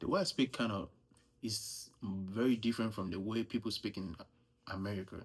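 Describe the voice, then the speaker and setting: A man with a strong Nigerian accent and fairly low pitch talks at a fairly quick pace with fairly even intonation in a very clean recording with a silent background. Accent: thick Nigerian. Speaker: US Army soldier. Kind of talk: casual vlog monologue. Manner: casual, conversational.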